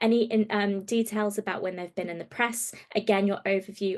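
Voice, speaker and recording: A woman with a normal speaking voice at medium pitch and moderate pace, over a quiet background. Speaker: travel trade platform presenter. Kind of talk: training webinar walkthrough.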